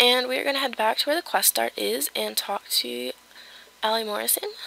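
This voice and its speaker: A woman talks at a fairly quick clip, with noticeable background noise in the recording. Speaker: gaming video creator. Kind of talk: game walkthrough tutorial. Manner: casual, with many fillers.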